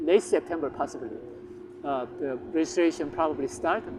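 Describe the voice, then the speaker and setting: A man with a Korean accent at a fairly quick pace, amid noticeable background noise. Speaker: language teacher, channel owner. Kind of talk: casual promotional talk to camera. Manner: halting, many fillers.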